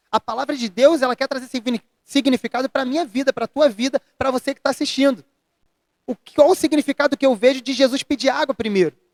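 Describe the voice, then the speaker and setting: A man talks at a fairly quick pace in an extremely high pitch, with ordinary pitch variation and a dry, close sound with no echo. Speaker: pastor. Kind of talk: interview about faith. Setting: church retreat, after the service. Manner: fast.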